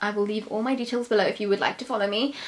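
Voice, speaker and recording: Over noticeable background noise, a woman with a London accent speaks with fairly even intonation. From London, England. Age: 20s. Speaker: beauty YouTuber. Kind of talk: Q&A vlog. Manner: casual, hesitant with fillers.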